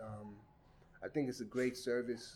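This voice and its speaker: This man keeps a moderate pace, his medium pitch showing ordinary pitch variation. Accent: New York. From Brooklyn, New York (Crown Heights). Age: 50s. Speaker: community resident interviewed for oral history. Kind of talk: oral history interview. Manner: hesitant, many fillers.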